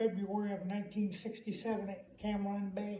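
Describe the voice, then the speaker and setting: A man's high voice at a fairly slow pace, with audible room echo. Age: 70s. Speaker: war veteran. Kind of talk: interview. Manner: halting.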